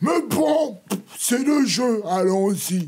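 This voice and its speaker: A man does a put-on character voice, high-pitched, at a very slow pace with very wide pitch swings. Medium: read story. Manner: haughty.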